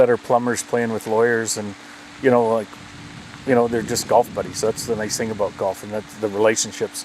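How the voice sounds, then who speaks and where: Through noticeable background noise, a man with an Albertan accent talks fairly quickly in a flat monotone at a medium pitch. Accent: Canadian (Alberta). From Alberta, Canada. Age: 60s. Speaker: golf club manager, retired oil executive. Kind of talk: casual interview. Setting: outdoors in a backyard.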